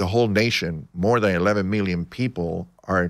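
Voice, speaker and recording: A man speaks with a very deep, low voice and fairly even intonation. The recording is very clean with a silent background. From Cuba. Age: 70s. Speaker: author and Cuban exile. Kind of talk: interview.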